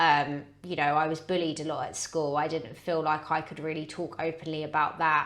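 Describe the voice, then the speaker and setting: With a British accent, a woman speaks at a moderate pace in a very deep, low pitch, her intonation flat and monotone, with hardly any pauses. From Britain. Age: 30s. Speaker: podcast guest, personal training client. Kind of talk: casual chat. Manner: halting.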